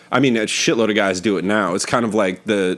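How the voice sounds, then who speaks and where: In an American accent, this man has a fairly low pitch, fairly even intonation and an unremarkable speaking voice. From northern California, Oakland area. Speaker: podcast host, comedian. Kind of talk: casual chat.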